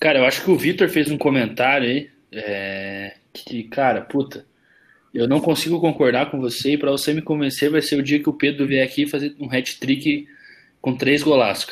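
Fairly high pitch for a man, an ordinary speaking voice with ordinary pitch variation, a moderate pace, and a very clean recording with a silent background. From Curitiba, southern Brazil. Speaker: podcast co-host. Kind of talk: casual chat.

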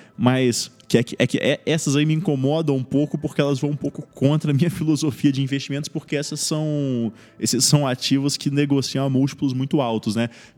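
Over background music, a man talks fairly quickly with fairly even intonation. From Brazil, Espírito Santo. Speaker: medical resident. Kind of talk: interview. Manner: hesitant, many fillers.

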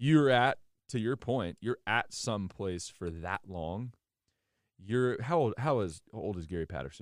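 A man with an unremarkable speaking voice, fairly low in pitch, slowish in pace and lively in intonation, on a very clean recording with a silent background. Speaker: college football podcast host. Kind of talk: casual sports podcast banter.

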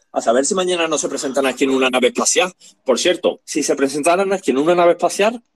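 Lively in intonation, a man talks at a very fast pace, the sound dry and close with no echo. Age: 30s. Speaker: podcast co-host. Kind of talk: casual chat.

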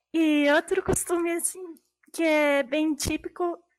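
Speaking at a fairly slow pace, a woman has an extremely high pitch with ordinary variation. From Brazil, São Paulo state, Mennonite German-speaking family. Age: 20s. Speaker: translator. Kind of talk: casual interview.

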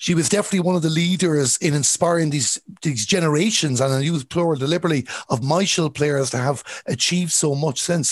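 A man with a Galway accent talks at a very fast pace and fairly high pitch. His loudness stays very even, with ordinary pitch variation. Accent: Irish, Galway. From Ireland, Galway. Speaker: sports podcast host. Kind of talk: interview.

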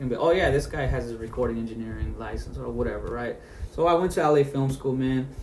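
There's audible room echo and noticeable background noise as a man speaks at medium pitch and a fairly quick pace. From San Jose, California. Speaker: hip hop artist. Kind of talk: casual interview, testimony. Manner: animated.

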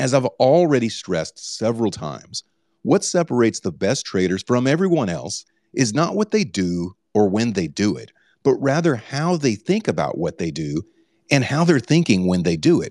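A man's voice with vocal fry and very wide pitch swings, at a moderate pace, with a dry, close sound, no echo, and a very clean recording over a silent background. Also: medium pitch for a man. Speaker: book club host. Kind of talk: live book reading and discussion. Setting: Twitter Spaces live audio room.

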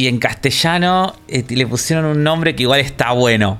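Noticeable background noise runs under a man whose intonation is lively. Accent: Rioplatense. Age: 30s. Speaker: video game podcast co-host. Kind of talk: casual chat.

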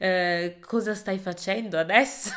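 With noticeable background noise behind her, a woman speaks at a fairly slow pace and a medium pitch. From Italy. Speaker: podcast host. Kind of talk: conversational interview.

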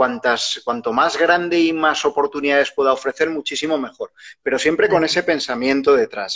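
This is an ordinary speaking voice. It keeps a moderate pace with ordinary pitch variation. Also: man, fairly high pitch for a man. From Spain, Huesca (Aragon). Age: 40s. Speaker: media professional and rural entrepreneurship podcaster. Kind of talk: casual interview.

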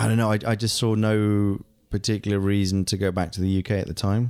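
In a very clean recording with a silent background, a man with a British accent speaks with a fairly low pitch, a dark, mellow tone and a monotone, flat intonation. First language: German. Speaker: voice actor and stage actor. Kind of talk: casual chat.

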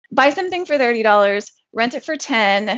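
A woman speaks in a normal speaking voice at a fairly high pitch and a moderate pace. Her intonation is lively, and the background is quiet. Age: 40s. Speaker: entrepreneur and full-time trader. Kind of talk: casual interview.

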